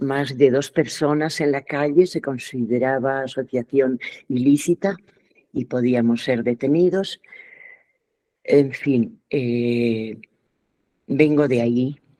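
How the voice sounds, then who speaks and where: Dark, mellow tone at a very slow pace, with long, frequent pauses and ordinary pitch variation. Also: woman, very deep, low pitch for a woman. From Spain, Pamplona (Navarre). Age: 70s. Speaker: theatre actress and director. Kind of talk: workshop talk. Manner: hesitant, many fillers.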